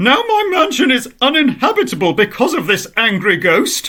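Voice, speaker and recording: Putting on a character voice, a man swings his extremely high pitch very widely at a moderate pace. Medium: read story.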